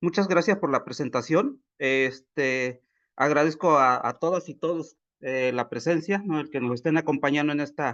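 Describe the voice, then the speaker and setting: A man's voice sits fairly high, with normal rise and fall in pitch, delivered at a medium tempo. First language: Popoluca (Zoque) (speaking Spanish). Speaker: agronomist speaker at a workshop. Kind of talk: webinar presentation. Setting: video call. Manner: hesitant, many fillers.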